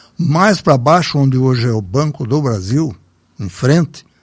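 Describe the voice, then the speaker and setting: Lively intonation marks this man's fairly slow delivery. His voice is somewhat breathy. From Brazil, São Paulo state (Salto, raised in Sorocaba). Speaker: local elder sharing memories. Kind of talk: casual reminiscing interview.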